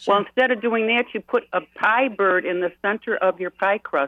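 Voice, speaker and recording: An unremarkable speaking voice from a woman with an American accent, medium in pitch with ordinary pitch variation and a fairly quick pace. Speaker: caller. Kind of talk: casual chat. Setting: phone call.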